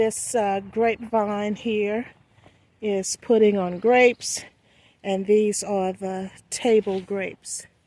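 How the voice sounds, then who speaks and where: Speaking at a very slow pace, a woman keeps a medium pitch and a dark, mellow tone. Her intonation is monotone and flat. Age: 60s. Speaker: home gardener vlogger. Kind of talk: casual garden tour vlog. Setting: outdoors in garden.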